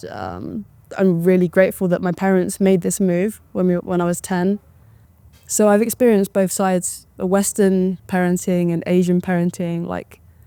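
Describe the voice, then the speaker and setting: A woman with a British accent, medium pitch, a dark, mellow tone, fairly even intonation and a moderate pace. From England, moved to Taiwan at ten. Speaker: professional tennis player. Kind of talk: documentary interview. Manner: casual, with fillers and restarts.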